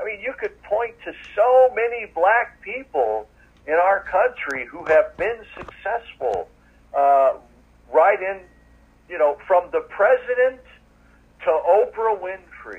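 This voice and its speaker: Over noticeable background noise, a man with a high pitch talks at a very slow pace, using lively intonation, big swings in loudness and long, frequent pauses. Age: 50s. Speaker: podcast host and guest. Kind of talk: casual interview chat.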